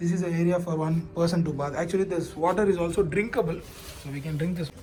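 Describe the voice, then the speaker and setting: Amid noticeable background noise and audible room echo, a man with a non-native accent and a high voice talks very fast with fairly even intonation. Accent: non-native English, self-described weird. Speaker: travel vlogger. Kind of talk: casual vlog narration. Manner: halting, many fillers.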